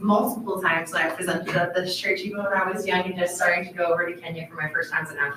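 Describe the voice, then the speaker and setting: With an American accent, a woman at medium pitch speaks at a very fast pace with fairly even intonation over noticeable background noise. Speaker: missionary. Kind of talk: church presentation.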